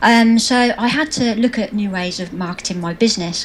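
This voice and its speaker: With noticeable background noise behind her, a woman speaks in a British accent. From England. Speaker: social media marketing trainer. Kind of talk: interview.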